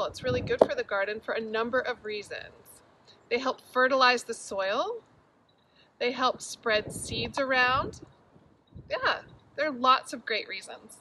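Over noticeable background noise, a woman talks at a moderate pace with long, frequent pauses in a dry sound with no echo. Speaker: garden educator. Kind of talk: children's lesson and read-aloud. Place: garden. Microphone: phone near.

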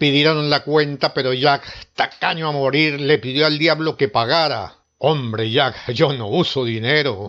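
Dramatic and bright, the voice has a sharp tone and ordinary pitch variation at a fairly slow pace. The background is quiet. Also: man, fairly high pitch for a man. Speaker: storyteller narrator. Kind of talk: ghost story telling, scripted narration of a legend. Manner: dramatic, suspenseful, acting out the devil and Jack in different tones.

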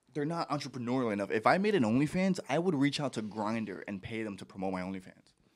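A man with a medium pitch speaks at a very fast pace with very wide pitch swings and hardly any pauses. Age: 30s. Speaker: podcaster. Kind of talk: casual chat. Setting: studio. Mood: joking, amused. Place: studio. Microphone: handheld.

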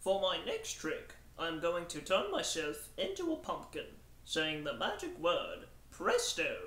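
A man puts on a cartoonish character voice at a fairly slow pace. Light background noise and a slight echo can be heard. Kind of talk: magic show patter. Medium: puppet.

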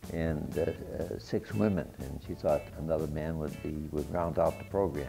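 Someone speaks at a moderate pace with faint music in the background. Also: man. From Worcester, Massachusetts. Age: 80s+. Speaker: war veteran; company CEO. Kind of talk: interview answer. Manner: hesitant, chatty. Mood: cheerful, smiling. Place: gym. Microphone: lapel.

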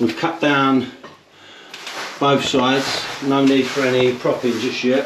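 Noticeable background noise behind a man speaking. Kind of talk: casual vlog chat. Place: home room. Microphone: phone near.

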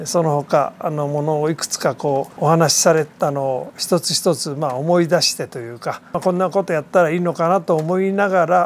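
The speaker keeps a moderate pace with hardly any pauses. Light background noise is present. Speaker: hotel owner. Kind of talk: interview answer. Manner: hesitant, many fillers. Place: open country. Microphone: lapel.

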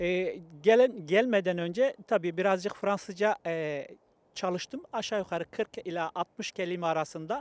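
In a dry sound with no echo, a man talks at a moderate pace in a high voice. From Kayseri, Turkey; Turkey. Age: 60s. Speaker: Turkish immigrant worker; interviewee. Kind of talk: street interview. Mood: warm, nostalgic, smiling. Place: open country. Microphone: handheld.

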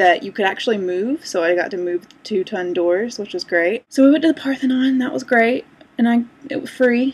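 The pace is moderate. A woman talks with lively intonation. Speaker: vlogger. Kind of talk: casual vlog chat. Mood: cheerful, amused storytelling. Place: home room. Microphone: webcam.

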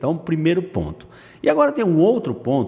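A man's voice with very wide pitch swings. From Brazil. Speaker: day trading educator on a video channel; day trading educator. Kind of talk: screen-share tutorial. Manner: casual, lots of filler words. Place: home room.

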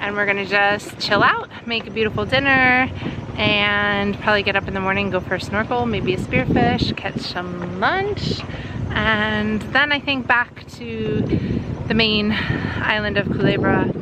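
Loud background noise surrounds a woman speaking fairly slowly. The sound is dry, with no echo. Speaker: sailing vlogger. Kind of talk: casual vlog chat. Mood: happy, relaxed. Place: boat. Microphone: phone near.

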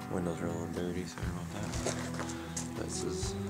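Music plays in the background. Over it, a man talks at a fairly quick pace. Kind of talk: casual vlog chat. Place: hall. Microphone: phone near.

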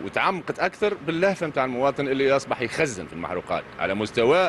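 Light background noise sits beneath a man talking at a very fast pace. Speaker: interviewee. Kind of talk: interview answer. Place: street. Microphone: handheld.

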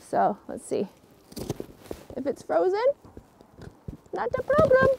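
Speech from a woman comes at a fairly slow pace. There is noticeable noise in the background. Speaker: video host. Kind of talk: casual tutorial. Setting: outdoors in snow.

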